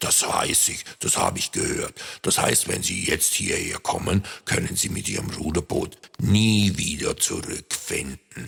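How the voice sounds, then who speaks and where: Here a man uses a put-on character voice. His pace is fairly slow. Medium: read story. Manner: hesitant, stammering.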